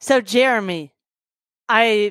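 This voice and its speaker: A woman with an American accent speaks at a medium pitch and a very slow pace with lively intonation. The recording is very clean and silent behind her, with a dry, close sound and no echo. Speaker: podcast host and landlord.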